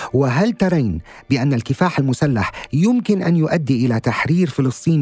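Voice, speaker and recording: Amid noticeable background noise, a man with a fairly high voice talks at a moderate pace with lively intonation. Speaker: podcast host. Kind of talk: interview. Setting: studio. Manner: formal.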